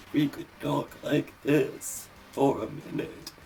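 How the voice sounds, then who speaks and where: A man puts on a character voice with a theatrical tone and a fairly high pitch. He talks at a very slow pace over clear background noise. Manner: silly, theatrical.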